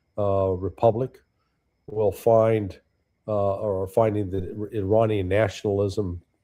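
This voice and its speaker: A man's somewhat breathy voice, fairly low in pitch, with fairly even intonation. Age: 70s. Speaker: political analyst, former intelligence officer. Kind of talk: casual chat.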